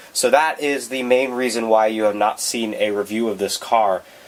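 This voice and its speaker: Moderate pace and ordinary pitch variation over noticeable background noise. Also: man. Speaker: model car reviewer. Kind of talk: casual talk to camera. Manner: casual, hesitant with fillers.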